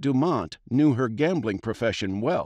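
A man speaks in a plain, everyday voice at a fairly slow pace with lively intonation. The sound is dry and close with no echo, against a quiet background. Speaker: audiobook narrator. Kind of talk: audiobook reading; scripted narration of a historical tale. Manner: steady, measured storytelling pace; clear, formal, expressive.

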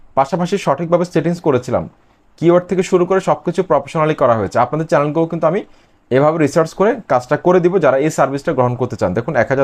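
A man with an unremarkable speaking voice, fairly high pitch and ordinary pitch variation. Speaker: YouTube growth service seller. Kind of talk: sales pitch.

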